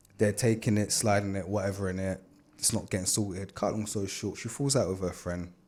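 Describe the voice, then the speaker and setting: In a London accent, a man talks at a fairly quick pace with a fairly low pitch and fairly even intonation on a very clean recording with a silent background. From Canada, then London (Peckham) from childhood. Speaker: dancer and DJ. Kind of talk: casual interview chat.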